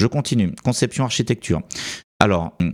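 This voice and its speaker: This very clean recording with a silent background carries speech at a fairly quick pace. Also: man. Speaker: software development educator, YouTuber. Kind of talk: educational talk commenting slides. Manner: fast; hesitant, many fillers.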